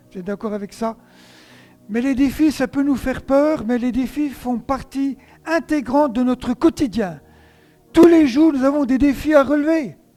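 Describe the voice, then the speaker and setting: A man's extremely high voice, dark and mellow in tone, at a fairly slow pace, with big swings in loudness and ordinary pitch variation. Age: 60s. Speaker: pastor. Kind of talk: sermon.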